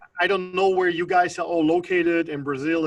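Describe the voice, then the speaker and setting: Flat and monotone, a man speaks at a fairly quick pace. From Germany. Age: 30s. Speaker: network marketing entrepreneur. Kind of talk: interview testimony.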